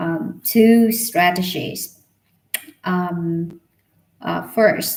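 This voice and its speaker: Quietly and at a very slow pace, a woman speaks with a fairly low pitch. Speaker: English learner livestreamer. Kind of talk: casual livestream chat. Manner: quiet, halting.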